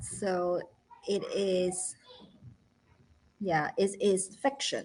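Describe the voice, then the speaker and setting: Speaking in a Chinese accent at a very slow pace, a woman holds a medium pitch. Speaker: founder of a children's learning academy and parent. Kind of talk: live educational talk show.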